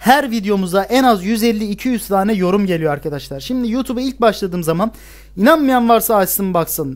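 With a high pitch and lively intonation, a man speaks with hardly any pauses. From Turkey, Bursa; Turkey. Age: 20s. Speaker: gaming YouTuber, university student; gaming YouTuber. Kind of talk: casual Q&A monologue to camera. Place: home room.

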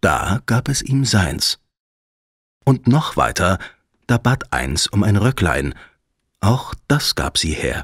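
A man with a gentle, soothing tone speaks at a very slow pace, leaving long, frequent pauses. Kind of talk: fairy tale audiobook narration. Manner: gentle, soothing, slow storyteller pacing.

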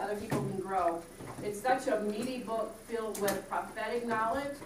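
A woman speaks at a moderate pace, with audible room echo and noticeable background noise. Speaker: minister teaching Bible study. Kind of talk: Bible study teaching. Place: classroom.

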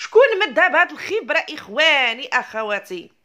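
Fairly slow and animated, a woman speaks with a Moroccan accent in a bright, sharp tone. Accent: Moroccan Arabic (Darija). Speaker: YouTube commentator. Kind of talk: ranting commentary video.

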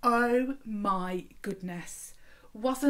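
The pitch varies in an ordinary way. The natural voice is reading aloud.

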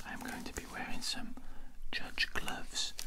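A soft-spoken man talks over loud background noise. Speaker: ASMR creator. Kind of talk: soft-spoken ASMR vlog chat. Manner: soft, hushed ASMR talk. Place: home room. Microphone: studio mic.

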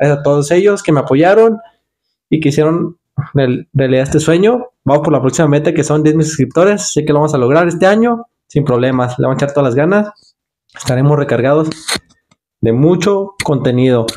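Over a quiet background, a man with a fairly high pitch and a dark, mellow tone talks at a fairly quick pace. His intonation is lively while his loudness stays very even. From Mexico, Guadalajara, Jalisco. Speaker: mechanic and YouTuber; YouTuber. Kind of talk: casual thank-you vlog to camera. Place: home room.

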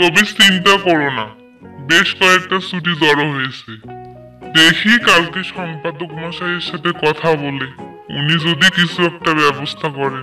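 Over clear music in the background, a man puts on a high-pitched character voice, speaking fairly slowly with ordinary pitch variation. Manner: wry, placating.

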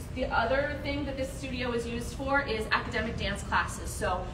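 A woman at a moderate pace, with noticeable background noise. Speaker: fitness program staff guide. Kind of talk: tour guide explanation. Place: gym. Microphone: camera far.

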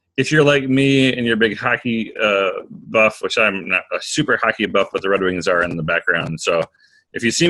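A man speaks at a moderate pace. Behind him, the background is quiet. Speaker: course facilitator. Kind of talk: online class hosting. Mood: upbeat, friendly. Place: home room. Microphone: webcam.

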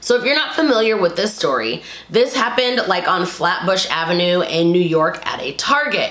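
A woman talks at a moderate pace, and audible room echo fills the space around her. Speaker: vlogger. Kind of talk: casual vlog commentary. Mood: opinionated, a bit indignant. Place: home room. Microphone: camera far.

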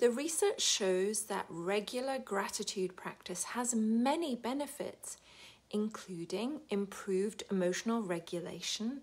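Her voice is fairly high, with an upbeat tone and a British accent. The woman talks at a fairly slow pace with lively intonation. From United Kingdom. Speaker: wellbeing coach. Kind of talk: casual talk to camera. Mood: warm and upbeat. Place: home room. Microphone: phone near.

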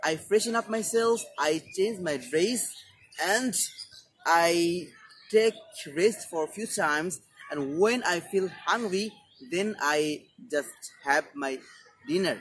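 A man with a Bengali accent talks at a very slow pace, leaving long, frequent pauses. His pitch is high and his intonation lively, with light background noise. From Bangladesh. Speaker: English teacher YouTuber. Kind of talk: tutorial. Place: garden. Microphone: lapel.

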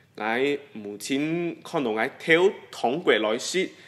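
A man with an eastern Guangdong accent and lively intonation. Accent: Dabu Hakka. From Singapore. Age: 20s. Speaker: interviewee. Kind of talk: personal reminiscence, interview answer. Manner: hesitant, many filler sounds. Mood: warm, nostalgic. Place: studio.

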